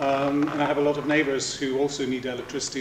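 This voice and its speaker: A man at a fairly quick pace, amid audible room echo and light background noise. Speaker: speaker. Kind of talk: lecture. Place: hall. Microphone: camera far.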